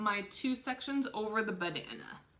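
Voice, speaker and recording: The pace is fairly slow. A woman's pitch swings very widely. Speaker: dietitian teaching a kids' cooking class; cooking demonstrator. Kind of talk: tutorial. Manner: slightly flustered, stumbling. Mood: cheerful, slightly flustered. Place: home room. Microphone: camera far.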